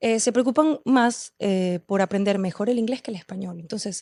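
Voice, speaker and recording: A woman talks at a fairly quick pace in a dark, mellow tone with ordinary pitch variation. The sound is dry and close with no echo, over a quiet background. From Venezuela, Caracas. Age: 30s. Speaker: poet and performer. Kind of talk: podcast interview. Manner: passionate, intense.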